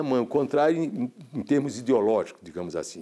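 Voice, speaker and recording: A dark, mellow tone with vocal fry at a moderate pace. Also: man. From Paraíba, Brazilian Northeast. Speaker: filmmaker. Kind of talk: interview testimony. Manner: halting, many repetitions.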